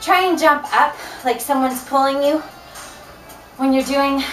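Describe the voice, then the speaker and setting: A woman's high voice at a fairly slow pace, fairly even in intonation, with audible room echo and faint background music. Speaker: fitness instructor. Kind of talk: workout instruction. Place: home room. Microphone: camera far.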